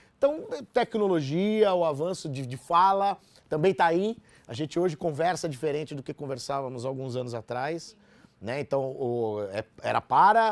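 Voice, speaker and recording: A man speaks at a moderate pace with lively intonation and fairly high pitch. He has an ordinary speaking voice, recorded with a dry, close sound and no echo. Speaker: radio announcer. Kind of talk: interview.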